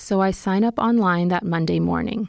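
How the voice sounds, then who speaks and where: A woman with an American accent speaks at a fairly slow pace in an unremarkable speaking voice of medium pitch. The recording is very clean, with a silent background and a dry, close sound with no echo. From California. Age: 40s. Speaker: podcast host and reporter. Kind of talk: scripted narration.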